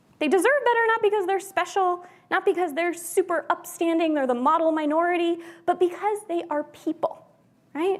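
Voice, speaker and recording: A woman's extremely high voice in an American accent, with ordinary pitch variation. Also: moderate pace. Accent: very American. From US, Pennsylvania. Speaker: journalism scholar. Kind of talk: keynote talk.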